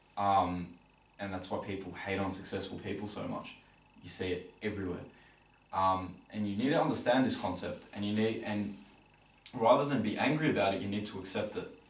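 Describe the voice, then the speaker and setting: Amid noticeable background noise and audible room echo, a man with an Australian accent speaks fairly quickly in a fairly low pitch with ordinary pitch variation. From Australia, Melbourne. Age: young. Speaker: entrepreneur. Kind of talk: podcast interview. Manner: fast.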